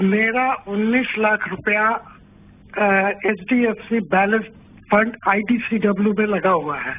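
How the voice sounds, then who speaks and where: A man's high pitch with fairly even intonation. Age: 70s. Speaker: retired caller. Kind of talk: phone-in question. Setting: phone call.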